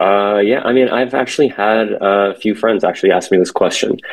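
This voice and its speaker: This man speaks with an American accent. His pitch is fairly low. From San Francisco Bay Area, California. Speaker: commercial real estate sales associate. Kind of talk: interview. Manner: halting, many fillers.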